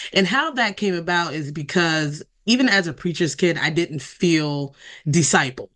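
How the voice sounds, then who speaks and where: An ordinary speaking voice from a woman with an American accent, fairly low in pitch, over a quiet background. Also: lively intonation, moderate pace. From Delaware, US. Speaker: ministry co-founder and author. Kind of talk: interview.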